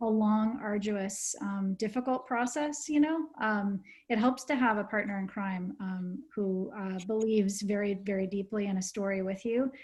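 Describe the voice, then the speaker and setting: The woman's voice is somewhat breathy. She keeps a moderate pace and ordinary pitch variation. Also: medium pitch for a woman. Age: 50s. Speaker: documentary film director. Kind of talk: panel discussion. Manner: hesitant, many fillers.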